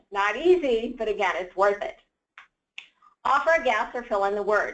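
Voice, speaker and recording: A woman with an unremarkable speaking voice talks at a fairly high pitch and moderate pace, using lively intonation. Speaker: nonprofit program specialist. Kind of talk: lecture.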